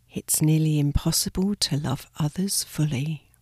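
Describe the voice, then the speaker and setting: A woman speaks in a fairly low, dark and mellow voice, somewhat breathy and soothingly calm. The sound is dry and close with no echo, on a very clean recording over a silent background. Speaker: meditation guide. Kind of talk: guided sleep meditation. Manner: slow, soft-spoken and soothing; calm, gentle, with long pauses.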